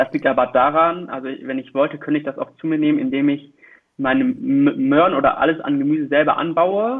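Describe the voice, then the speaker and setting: This is an unremarkable speaking voice. It has ordinary pitch variation. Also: man. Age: 20s. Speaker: student, youth association volunteer. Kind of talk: casual chat.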